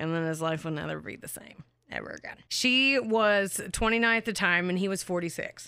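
On a very clean recording with a silent background, a woman talks loudly at a fairly quick pace, with a medium pitch and ordinary pitch variation. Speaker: true crime podcast co-host. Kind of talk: casual storytelling chat. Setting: recording studio.

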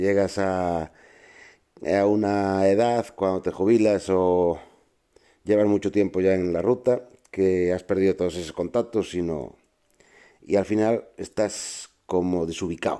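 A man with a very deep, low pitch and a dark, mellow tone speaks at a fairly slow pace with fairly even intonation. Long, frequent pauses break up his speech on a very clean recording with a silent background. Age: 50s. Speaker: truck driver podcast host. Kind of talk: casual monologue. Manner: halting.

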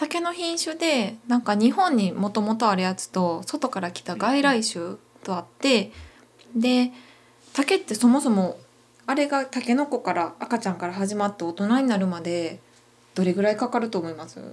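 In a Kansai accent, a woman speaks at a fairly high pitch with very wide pitch swings. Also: moderate pace. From Wakayama, Japan. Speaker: singer-songwriter. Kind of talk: casual interview. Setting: running shop.

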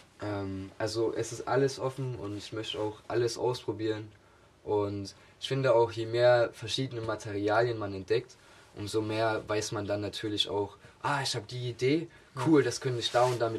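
A man talks with a medium pitch and fairly even intonation. His voice is somewhat breathy. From Saxony, near Chemnitz (Augustusburg). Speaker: art student and painter. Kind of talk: casual interview.

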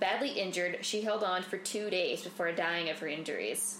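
Noticeable background noise can be heard behind this woman's voice. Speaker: podcast co-host. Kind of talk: casual chat.

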